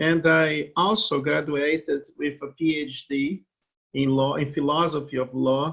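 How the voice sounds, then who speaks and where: A fairly slow pace in a Brazilian accent. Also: man. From Brazil, Rio de Janeiro. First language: Portuguese. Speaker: law professor. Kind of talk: interview.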